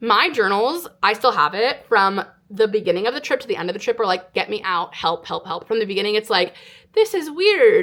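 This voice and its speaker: A plain, everyday voice with an American accent and lively intonation. The pace is fairly quick. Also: woman, fairly high pitch for a woman. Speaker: online storyteller. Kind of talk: casual storytelling monologue to camera.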